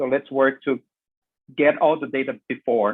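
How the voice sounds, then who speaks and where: With a Portuguese accent, a man talks at a fairly slow pace in a fairly high pitch. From Brazil. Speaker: business consultant. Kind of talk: panel discussion comment. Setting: video conference.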